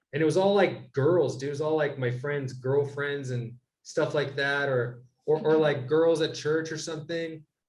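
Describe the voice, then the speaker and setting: Audible room echo surrounds a man speaking at a moderate pace in a fairly high pitch. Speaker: podcast co-host. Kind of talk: casual chat. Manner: loud; animated.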